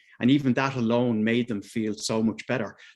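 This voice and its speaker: Against a quiet background, a speaker with an Irish accent talks with ordinary pitch variation. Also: man. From Ireland, Dublin. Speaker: mental health advocate. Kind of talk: personal testimony at a video meeting. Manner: halting, many fillers.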